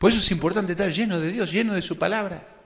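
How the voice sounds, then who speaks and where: Audible room echo surrounds a man's bright, sharp tone as he talks at a very fast pace with ordinary pitch variation. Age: 30s. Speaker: preacher, youth leadership workshop speaker. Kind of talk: sermon-style workshop talk.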